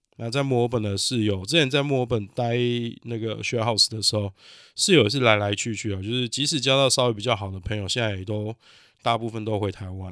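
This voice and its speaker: A man with a medium pitch and fairly even intonation talks on a very clean recording against a silent background. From Taiwan. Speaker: podcast host, cook. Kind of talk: solo podcast monologue. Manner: halting, many fillers.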